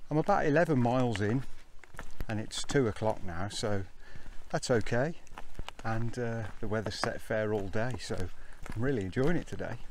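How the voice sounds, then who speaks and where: At a moderate pace with ordinary pitch variation and long, frequent pauses, the voice comes through as dry sound with no echo over light background noise. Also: man. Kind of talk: casual vlog chat. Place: open country. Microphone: phone near.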